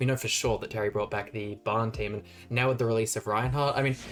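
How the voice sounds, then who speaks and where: A man talks at a very fast pace in an animated tone, with ordinary pitch variation. Noticeable background noise can be heard. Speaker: gaming YouTuber. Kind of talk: gameplay commentary. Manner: casual, animated.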